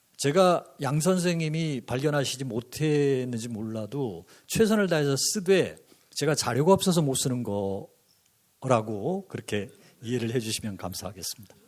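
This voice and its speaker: This man's pitch sits fairly high and swings very widely. He moves along at a moderate pace. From rural Korea. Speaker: art historian and author. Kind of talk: panel discussion remarks. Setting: conference with audience.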